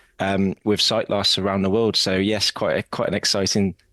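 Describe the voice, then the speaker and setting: A man's fairly low voice in a British accent, fairly quick and fairly even, with a dry, close sound with no echo and a quiet background. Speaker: assistive technology company executive. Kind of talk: podcast interview.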